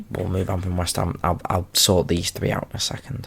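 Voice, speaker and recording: Soft-spoken, a man talks at a moderate pace with a very deep, low pitch and vocal fry. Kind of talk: casual talk to camera.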